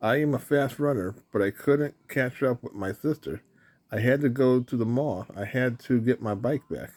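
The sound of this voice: With ordinary pitch variation, the recording offers an unforced reading voice.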